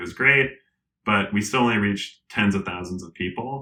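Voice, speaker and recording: A man with an American accent, fairly low in pitch, at a very fast pace. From Colorado, US. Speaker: tech company executive. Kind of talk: podcast interview.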